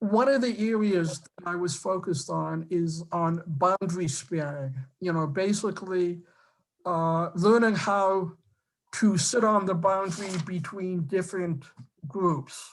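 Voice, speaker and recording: In a strong Boston accent, a woman speaks at a fairly slow pace with a fairly low pitch and ordinary pitch variation. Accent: Boston accent, still strong. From Boston area, Massachusetts. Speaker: council candidate, former college professor. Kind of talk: public meeting self-introduction. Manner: halting, many fillers and restarts.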